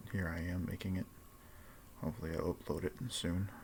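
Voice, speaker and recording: A man speaks quietly at a fairly quick pace in a very deep, low pitch, somewhat breathy. His intonation stays fairly even. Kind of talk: casual vlog monologue. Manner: quiet, hushed; hesitant, filler-heavy.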